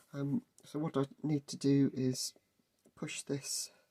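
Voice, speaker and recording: A man with a fairly high pitch and a somewhat breathy voice. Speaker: model railway hobbyist. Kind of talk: casual workshop tutorial talk.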